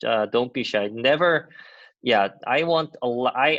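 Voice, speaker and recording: A man in a Korean accent talks at medium pitch with lively intonation over a quiet background. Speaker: university lecturer. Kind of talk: lecture. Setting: video call.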